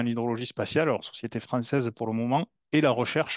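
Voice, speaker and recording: A man with a southern French accent speaks at a fairly quick pace and medium pitch, his intonation fairly even. The sound is dry and close with no echo, over a quiet background. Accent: southern French (Toulouse). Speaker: company founder, satellite imagery expert. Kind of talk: webinar presentation. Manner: hesitant, many fillers and repetitions.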